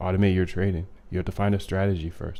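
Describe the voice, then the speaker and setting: The man's voice has a very deep, low pitch and a dark, mellow tone. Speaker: algorithmic trading streamer. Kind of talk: live stream tutorial. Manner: fast; animated.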